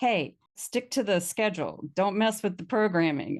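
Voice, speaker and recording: In an American accent, a woman at medium pitch speaks at a moderate pace with lively intonation and an animated tone. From Virginia, US South. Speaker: voiceover artist. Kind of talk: casual interview chat.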